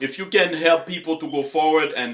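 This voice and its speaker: The speaker is a man with a Haitian accent. He talks at a fairly quick pace. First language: Haitian Creole or French. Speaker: motivational coach. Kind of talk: motivational talk. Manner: hesitant, many fillers.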